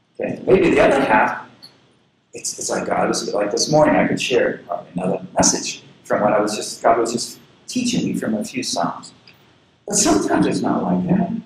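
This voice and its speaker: A man speaks at a moderate pace with long, frequent pauses. Room echo is audible. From US South, southern Florida. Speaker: pastor. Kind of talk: sermon. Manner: halting.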